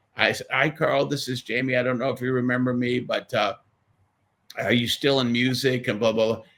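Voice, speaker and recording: A man speaks at a fairly quick pace. His medium-pitched voice has monotone, flat intonation. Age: 70s. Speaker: guitarist and songwriter. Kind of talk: casual interview chat. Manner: halting, many repeated words.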